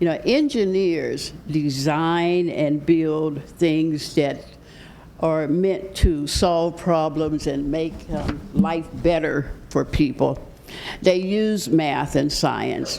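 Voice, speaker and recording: A woman speaks very slowly in a very deep, low voice with fairly even intonation. Audible room echo surrounds her. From Pittsburgh, Pennsylvania. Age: 80s+. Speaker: retired mathematics professor and engineer, guest speaker. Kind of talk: talk to a church congregation.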